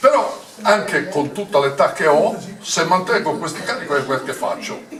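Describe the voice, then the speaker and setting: Amid noticeable background noise and audible room echo, a man speaks in a high pitch with lively intonation. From Sardinia. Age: 80s+. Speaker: retired military officer and party regional coordinator. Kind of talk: political speech at meeting. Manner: halting, many fillers.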